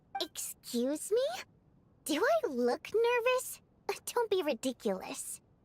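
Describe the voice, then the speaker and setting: A woman puts on a character voice, pitched extremely high, with very wide pitch swings, a fairly slow pace and long, frequent pauses. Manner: defensive, indignant.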